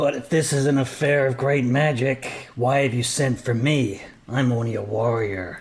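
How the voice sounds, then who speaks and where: A man puts on a character voice at a medium pitch. He speaks at a moderate pace with fairly even intonation. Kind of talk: best warrior voice. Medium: actual play. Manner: dry, blunt.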